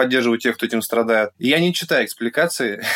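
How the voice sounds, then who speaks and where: An unremarkable speaking voice from a man at medium pitch. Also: very clean recording, silent background. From Russia, Yekaterinburg. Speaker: artist and blogger. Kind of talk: casual interview.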